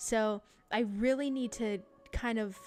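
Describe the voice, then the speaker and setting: A woman talks with fairly even intonation. Behind her, music plays. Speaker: VTuber streamer. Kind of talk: casual livestream chat. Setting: home streaming setup. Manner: sassy, confident.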